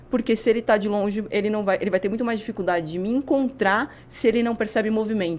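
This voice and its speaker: A woman's fairly high voice at a very fast pace, with hardly any pauses and ordinary pitch variation. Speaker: neuroscientist and physical educator. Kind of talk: podcast interview.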